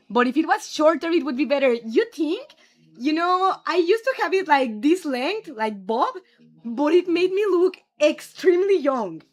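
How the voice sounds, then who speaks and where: This woman has a strong Mexican accent. Her pitch swings very widely. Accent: Mexican Spanish accent, thick. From Mexico. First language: Spanish. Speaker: streamer. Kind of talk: casual chat. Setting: live stream.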